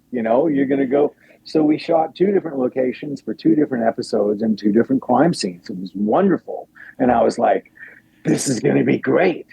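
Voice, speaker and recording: The speaker talks at a fairly quick pace with an American accent and lively intonation. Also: man, medium pitch for a man. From Riverside, California and Anchorage, Alaska. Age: 60s. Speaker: actor and musician. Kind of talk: casual interview chat. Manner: animated, conversational with fillers.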